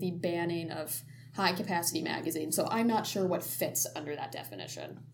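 Speaking at a fairly quick pace, a woman uses lively intonation at a fairly low pitch, with audible room echo around her. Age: 20s. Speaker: student podcast host. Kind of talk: casual chat.

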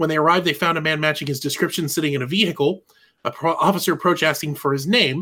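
This man speaks very fast in a fairly high voice with a bright, sharp tone. His intonation stays fairly even. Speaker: podcast co-host. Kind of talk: casual banter.

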